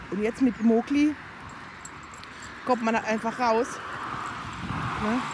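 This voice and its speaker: Over noticeable background noise, a woman speaks at a moderate pace. Her pitch varies in an ordinary way. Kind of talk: casual talk to camera. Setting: outdoors. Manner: chatty.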